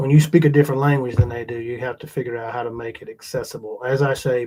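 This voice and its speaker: A man's very fast, somewhat breathy speech with a Southern US accent, a dark, mellow tone, fairly even intonation and big swings in loudness. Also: medium pitch for a man. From US South. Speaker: pastor. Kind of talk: panel discussion.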